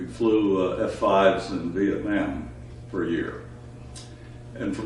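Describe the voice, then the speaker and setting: As the man talks, the room echoes audibly and background noise is noticeable. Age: 80s+. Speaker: retired air force fighter pilot. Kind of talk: oral history interview. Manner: hesitant, many filler uhs.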